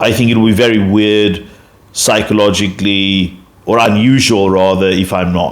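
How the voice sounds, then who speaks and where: This man, with a South African accent, keeps a fairly low pitch, a monotone, flat intonation and very even loudness. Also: moderate pace. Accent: Afrikaans-accented English, noticeable. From South Africa, Afrikaner. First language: Afrikaans. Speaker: YouTube commentator. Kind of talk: casual explanatory monologue. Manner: halting, many fillers and self-corrections.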